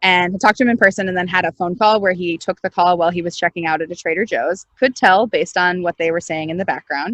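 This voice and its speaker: A woman talks at a very fast pace with hardly any pauses, her fairly low voice showing ordinary pitch variation. The sound is dry and close, with no echo. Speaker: startup founder and CEO. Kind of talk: interview. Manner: loud; animated.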